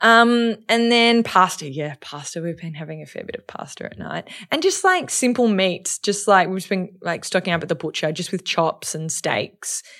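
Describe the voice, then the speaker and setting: In an Australian accent, a woman talks at a moderate pace with a medium pitch, lively intonation and hardly any pauses. Her loudness swings widely, and the recording is very clean with a silent background. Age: 30s. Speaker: social media influencer. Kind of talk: casual chat.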